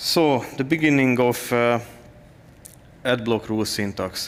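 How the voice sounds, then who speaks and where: At a very slow pace, a man talks at a medium pitch with ordinary pitch variation. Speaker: software developer. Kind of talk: conference talk. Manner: halting, many filler sounds.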